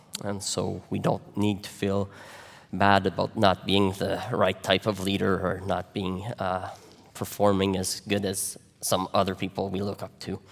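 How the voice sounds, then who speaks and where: Speaking in a Quebec accent, a man talks at a fairly slow pace with a fairly low pitch and monotone, flat intonation. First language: French. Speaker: pastor. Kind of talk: sermon. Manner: halting, many fillers.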